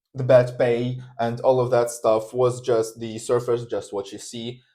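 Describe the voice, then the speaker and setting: The man's tone is dark and mellow. He talks at a fairly slow pace with monotone, flat intonation. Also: very clean recording, silent background. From Russia. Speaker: linguistics student. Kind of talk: casual chat.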